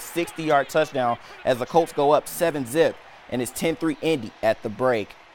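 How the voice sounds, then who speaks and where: A man's moderately paced delivery in an unremarkable speaking voice, with ordinary pitch variation. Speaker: sports broadcaster, student. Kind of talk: sports anchor recap.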